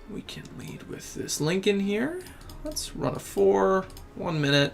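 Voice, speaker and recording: Over music in the background, a man with an American accent speaks at a very slow pace in a high pitch. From Memphis, Tennessee. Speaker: game streamer. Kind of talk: casual live stream chat. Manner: relaxed, casual with fillers.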